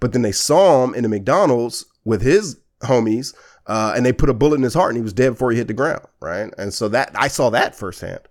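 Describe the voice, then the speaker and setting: An animated voice in an American accent moves at a fairly quick pace with lively intonation. The recording is very clean, with a silent background. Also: man, medium pitch for a man. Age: 30s. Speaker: podcast host. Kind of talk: casual chat.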